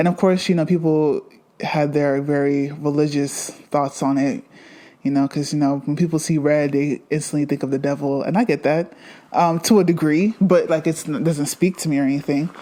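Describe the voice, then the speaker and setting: A woman with a very deep, low pitch and a dark, mellow tone, ordinary pitch variation, moderate pace. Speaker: fashion podcast host. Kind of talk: casual podcast monologue. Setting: at home.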